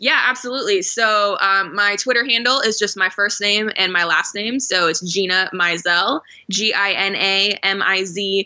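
With an American accent, a woman uses an ordinary speaking voice at a medium pitch, a moderate pace and fairly even intonation. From Phoenix, Arizona. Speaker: sports journalist. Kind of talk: interview.

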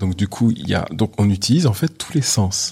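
In a very clean recording with a silent background, a man speaks at a moderate pace and medium pitch, his tone dark and mellow and somewhat breathy. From France, Paris. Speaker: business founder and international speaker. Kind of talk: interview. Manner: animated.

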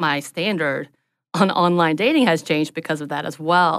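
Talking at a fairly quick pace, a woman with a Southern US accent uses ordinary pitch variation. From US South, North Georgia mountains. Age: 30s. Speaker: social worker. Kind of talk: casual chat.

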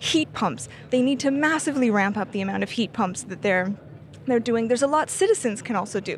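The speaker has a Canadian accent and lively intonation. The voice is somewhat breathy and moves at a fairly quick pace. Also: woman. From Canada. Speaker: energy policy analyst. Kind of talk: interview. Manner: halting, many fillers and restarts.

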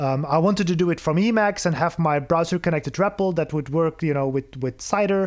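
Talking at a very fast pace with hardly any pauses, a man with a Flemish accent uses a high pitch. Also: ordinary pitch variation, very even loudness. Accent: Belgian (Flemish) accent in English. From Belgium. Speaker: software developer and programming educator. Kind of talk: casual interview conversation.

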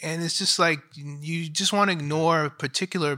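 Heard in a very clean recording over a silent background, a man with a plain, everyday voice, fairly high for a man, speaks at a moderate pace with ordinary pitch variation. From Astoria, Queens, New York. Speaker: documentary director. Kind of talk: panel Q&A.

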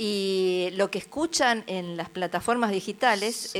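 With medium pitch and ordinary pitch variation, a woman speaks. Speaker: folk singer-songwriter. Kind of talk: casual interview chat. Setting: radio studio.

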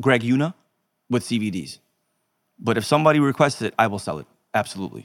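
Very fast and marked by vocal fry, a man's voice comes through with ordinary pitch variation and a dry, close sound with no echo. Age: 30s. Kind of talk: casual chat. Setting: studio.

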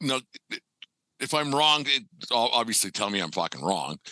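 A man's voice, bright and sharp in tone with vocal fry, comes at a moderate pace in a dry, close sound with no echo. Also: medium pitch for a man. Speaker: podcast host.

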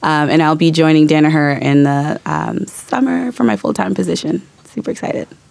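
The voice moves at a fairly quick pace with very wide pitch swings and hardly any pauses, over noticeable background noise. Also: woman, very deep, low pitch for a woman. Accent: American. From US South. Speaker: graduating MBA student. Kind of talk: studio interview. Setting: studio with live audience.

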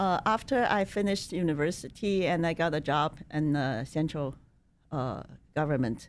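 In a Chinese accent, a woman speaks at a moderate pace with a very deep, low pitch and lively intonation. Her loudness stays very even, and the recording is very clean with a silent background. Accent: Mandarin Chinese. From China. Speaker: human rights speaker. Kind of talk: interview. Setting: studio.

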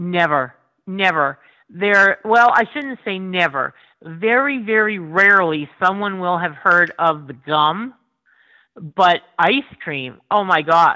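In a Northeast Pennsylvania accent, a woman speaks at a very slow pace with lively intonation. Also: medium pitch for a woman. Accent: Northeastern Pennsylvania. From Pennsylvania coal region, Schuylkill County. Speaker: food blogger. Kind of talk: casual chat.

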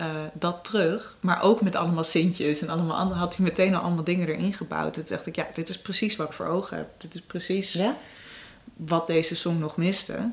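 A woman with a fairly low pitch speaks at a fairly quick pace, her intonation fairly even. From Amsterdam, Jordaan. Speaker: singer-songwriter. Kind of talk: casual interview. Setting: at home, Amsterdam apartment.

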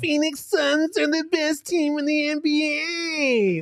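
This put-on character voice is high-pitched and whiny, with a whiny tone throughout. It moves at a very slow pace over light background noise.

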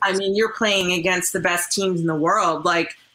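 Medium pitch from a woman with a Canadian accent, over noticeable background noise. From Canada. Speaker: curler turned broadcaster. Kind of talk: casual interview.

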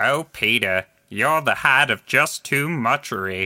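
A man puts on a character voice at a medium pitch. He speaks at a fairly slow pace on a very clean recording with a silent background. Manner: gentle, slow.

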